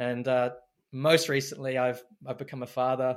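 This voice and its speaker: A man's voice on a very clean recording with a silent background. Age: 40s. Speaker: men's work facilitator and mentor. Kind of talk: interview conversation. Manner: halting, many repetitions.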